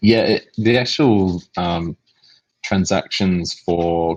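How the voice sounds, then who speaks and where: An Australian accent in a dry, close sound with no echo. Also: man. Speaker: game company executive answering community questions. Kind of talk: live Q&A on voice chat. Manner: hesitant, many fillers and repeats.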